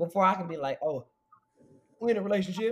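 A man talks at a fairly quick pace. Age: 20s. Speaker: guest. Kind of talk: casual chat. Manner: animated.

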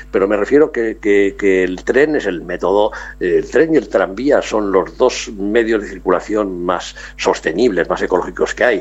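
The delivery moves at a moderate pace. Noticeable background noise is present. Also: man. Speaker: travel business owner. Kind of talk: radio interview.

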